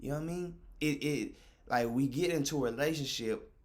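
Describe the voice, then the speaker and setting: Audible room echo is present. The voice is a man's. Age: 20s. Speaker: streamer. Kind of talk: casual monologue to stream chat. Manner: animated.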